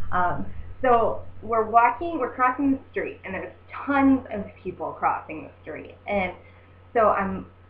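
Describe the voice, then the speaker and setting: A woman with an American accent at a fairly slow pace, animated in tone, with big swings in loudness and noticeable background noise. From US Midwest, Southern Indiana. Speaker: travel vlogger. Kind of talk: casual vlog monologue. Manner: animated, many fillers.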